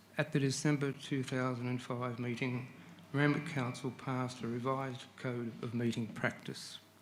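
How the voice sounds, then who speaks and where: A man's medium-pitched voice with an Australian accent, fairly even intonation and audible room echo. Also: moderate pace. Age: 70s. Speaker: resident speaking at council public forum. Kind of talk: public address to council. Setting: council chamber. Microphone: too far from microphone at first.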